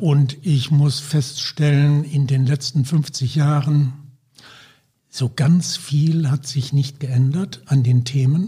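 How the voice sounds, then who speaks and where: Somewhat breathy, a man talks at a very slow pace in a fairly high pitch with fairly even intonation. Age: 70s. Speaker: healthcare consultant, former anaesthetist. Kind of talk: podcast interview.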